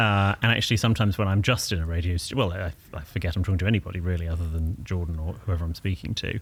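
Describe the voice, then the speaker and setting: Very deep and low, a man's voice races along at a very fast pace, somewhat breathy, with ordinary pitch variation. The recording is very clean, with a silent background. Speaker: etiquette expert. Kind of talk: casual interview. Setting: backstage studio at a festival.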